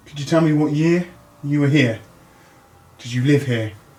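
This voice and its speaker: A man with a fairly high-pitched voice is heard through noticeable background noise. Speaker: paranormal investigator. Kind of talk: ghost hunt narration. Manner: quiet; halting.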